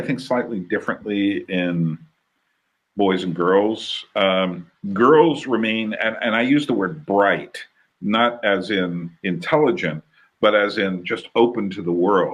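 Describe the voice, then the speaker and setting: With an American accent and a plain, everyday voice, a man of medium pitch talks at a fairly slow pace using lively intonation. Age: 60s. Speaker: podcast host. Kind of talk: casual conversation.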